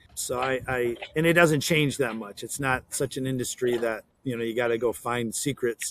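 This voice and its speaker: A man's ordinary speaking voice at medium pitch, fairly even intonation, a moderate pace with hardly any pauses, and a dry, close sound with no echo. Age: 60s. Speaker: plumbing business owner. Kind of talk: casual interview.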